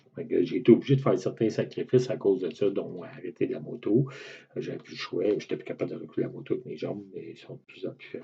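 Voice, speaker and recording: This man speaks in a Quebec accent. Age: 60s. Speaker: patient with a rare muscle disease. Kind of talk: personal testimony to camera. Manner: hesitant, many fillers.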